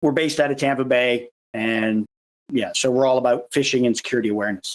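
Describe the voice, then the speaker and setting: Very fast and very even in loudness, a man talks at a medium pitch with fairly even intonation in a dry, close sound with no echo. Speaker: security awareness advocate and presenter. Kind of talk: conference presentation.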